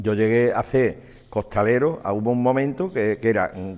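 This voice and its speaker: A man speaks with an Andalusian accent. His pitch varies in an ordinary way. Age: 70s. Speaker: former costalero and capataz. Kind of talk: interview testimony. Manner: repetitive, halting.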